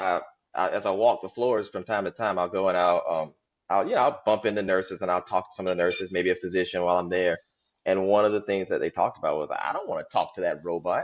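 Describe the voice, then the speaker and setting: The speaker talks with a Southern US accent. The background is quiet. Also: man. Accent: Southern drawl. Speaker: healthcare IT director. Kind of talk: podcast interview.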